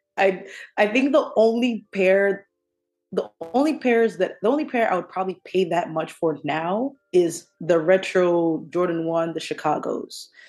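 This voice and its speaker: A woman's medium-pitched voice with lively intonation, music playing in the background. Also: moderate pace. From Kenya, then New Jersey (US). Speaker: sneaker enthusiast. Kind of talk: casual chat.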